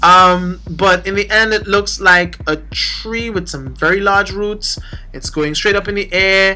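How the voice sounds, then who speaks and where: A woman with a Trinidadian accent speaks at a fairly slow pace. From Trinidad and Tobago. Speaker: manga reviewer, YouTuber. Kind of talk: casual review monologue. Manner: halting, repeats words.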